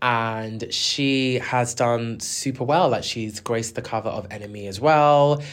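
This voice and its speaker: A man with a South London accent at a very slow pace. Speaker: music podcast host. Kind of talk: solo commentary. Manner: animated.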